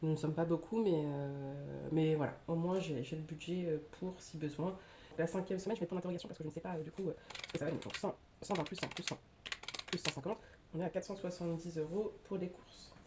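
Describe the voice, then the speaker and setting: Noticeable background noise sits under a woman's fairly low voice. She speaks at a fairly quick pace with fairly even intonation. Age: 30s. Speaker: budget vlogger. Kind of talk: casual talk to camera. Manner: hesitant, many filler sounds.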